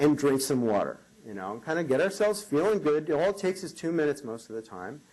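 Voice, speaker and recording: A man with an American accent talks at a moderate pace in a fairly high voice, using vocal fry and very wide pitch swings. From New York. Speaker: motivational keynote speaker. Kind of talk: keynote speech. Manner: animated.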